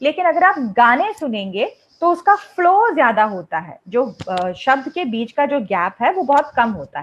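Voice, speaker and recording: The woman's pitch is high, with very wide pitch swings. She talks with a Malayalam accent. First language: Malayalam (speaking Hindi). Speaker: English teacher. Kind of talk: lecture. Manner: conversational, with hesitations.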